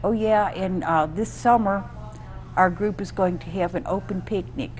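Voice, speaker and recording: There is audible room echo and noticeable background noise as a woman talks with an American accent. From upstate New York. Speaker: storyteller. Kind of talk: interview. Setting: live show.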